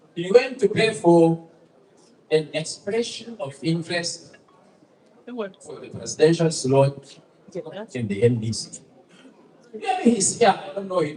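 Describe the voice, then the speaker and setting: A man at a high pitch with very wide pitch swings and long, frequent pauses, over noticeable background noise. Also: fairly slow pace. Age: 70s. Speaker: political speaker. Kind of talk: public speech.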